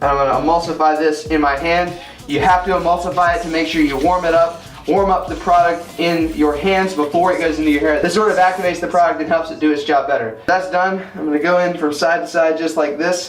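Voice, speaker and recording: With a high pitch and fairly even intonation, a man speaks at a very fast pace with hardly any pauses, amid audible room echo and noticeable background noise. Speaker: men's grooming YouTuber. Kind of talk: tutorial.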